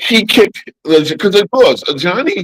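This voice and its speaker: The delivery is animated with ordinary pitch variation, in a dry, close sound with no echo. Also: man. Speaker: basketball podcast host. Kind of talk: casual chat. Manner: stammering.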